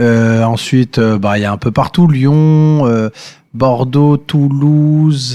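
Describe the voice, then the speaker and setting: Very slow speech from a man at medium pitch, ordinary pitch variation and very even loudness. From France, Vichy (Allier). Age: 30s. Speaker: comedian. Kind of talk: casual chat. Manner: hesitant.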